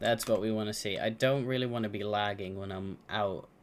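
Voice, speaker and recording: A man's fairly low voice in an American accent, with music in the background. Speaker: video game streamer. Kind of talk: casual live-stream gameplay chat.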